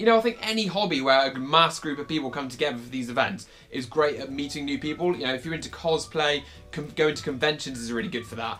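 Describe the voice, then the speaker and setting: Over music in the background, a man with a British accent talks very fast in a fairly high pitch with lively intonation. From United Kingdom. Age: 20s. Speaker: vlogger, LARP player. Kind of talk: casual talk to camera.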